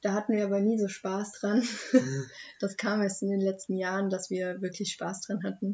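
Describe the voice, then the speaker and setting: Somewhat breathy and flat, monotone in intonation, a woman speaks at a medium pitch and a moderate pace. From Germany, Hochheim am Main (Hesse). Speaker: young local podcast guest. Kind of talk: casual chat.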